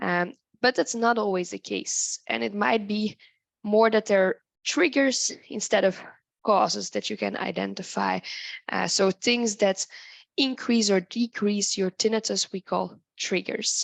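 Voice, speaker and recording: Heard over a quiet background with a dry, close sound and no echo, the voice moves at a fairly slow pace with ordinary pitch variation. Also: woman, medium pitch for a woman. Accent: non-native. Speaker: tinnitus researcher and expert. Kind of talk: lecture.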